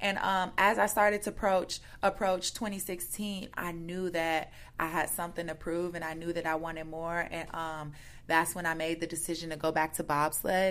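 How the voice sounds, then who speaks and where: With an American accent, a woman speaks at a moderate pace in a fairly low pitch. Her intonation is fairly even, and she has a plain, everyday voice. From Chicago South Side. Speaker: Olympic athlete. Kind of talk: interview. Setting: in person, Chicago.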